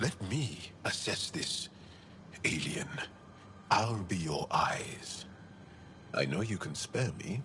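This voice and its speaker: A man puts on a character voice, pitched fairly low, talking at a very slow pace with long, frequent pauses over clear background noise. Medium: video game. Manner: earnest, talkative.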